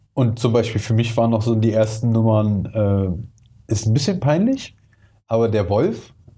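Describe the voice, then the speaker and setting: A man speaks at a moderate pace. His tone is dark and mellow, and somewhat breathy. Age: 30s. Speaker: hip-hop podcast host. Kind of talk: casual chat.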